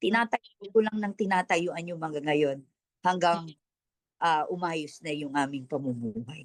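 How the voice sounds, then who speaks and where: A woman speaks fairly slowly with lively intonation and a fairly low pitch. The sound is dry and close, with no echo. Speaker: pastor giving life testimony. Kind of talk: testimony.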